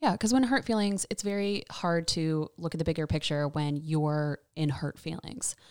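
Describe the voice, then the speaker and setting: In an American accent, a woman with an unremarkable speaking voice talks at a moderate pace with hardly any pauses, fairly low in pitch and lively in intonation, on a very clean recording with a silent background and a dry, close sound with no echo. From US South, North Carolina (Raleigh). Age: 30s. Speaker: podcast guest, host's best friend. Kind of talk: casual chat.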